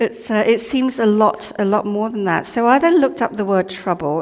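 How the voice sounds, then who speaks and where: Over noticeable background noise, a woman talks at a medium pitch with ordinary pitch variation. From Malaysia. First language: not English. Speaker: lay preacher. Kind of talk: sermon. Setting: church. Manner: casual, hesitant.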